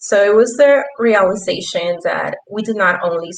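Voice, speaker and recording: A fairly high-pitched woman's voice with a Spanish accent and ordinary pitch variation. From Peru. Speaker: youth ambassador, intern. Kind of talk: panel discussion.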